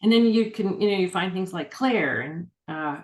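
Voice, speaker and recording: With an ordinary speaking voice, a woman talks at a medium pitch and moderate pace, showing ordinary pitch variation. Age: 60s. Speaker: urban fantasy author. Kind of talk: casual interview chat. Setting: video call.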